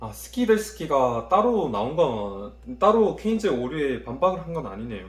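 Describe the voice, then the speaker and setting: Amid noticeable background noise and audible room echo, a man speaks at a moderate pace. His fairly high pitch makes very wide swings. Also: big swings in loudness. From Korea, Daegu. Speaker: university student vlogger. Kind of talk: study vlog, self-review of notes. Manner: casual, thinking aloud.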